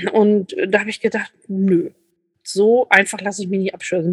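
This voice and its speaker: Somewhat breathy and fairly high in pitch, a woman speaks at a moderate pace in a dry, close sound with no echo. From Lübeck, northern Germany. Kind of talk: casual interview chat.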